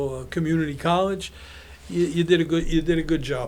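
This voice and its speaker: A man talks very fast in a Brooklyn accent. His voice is high-pitched. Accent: New York (Brooklyn). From Brownsville, Brooklyn, New York. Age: 70s. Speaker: apparel businessman. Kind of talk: casual podcast interview. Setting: studio. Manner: animated storytelling.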